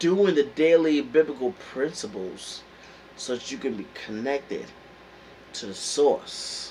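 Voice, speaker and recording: Very wide pitch swings run through this man's medium-pitched voice, delivered with a New York accent. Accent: New York accent, still there. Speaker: motivational vlogger. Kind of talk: motivational talk. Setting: indoors at home, heater on. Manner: casual, hesitant with fillers.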